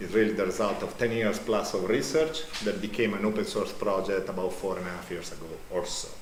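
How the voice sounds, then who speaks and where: A man speaks very fast at a fairly low pitch with ordinary pitch variation. Audible room echo and noticeable background noise fill the recording. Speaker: professor. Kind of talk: conference talk. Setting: conference hall. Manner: loud.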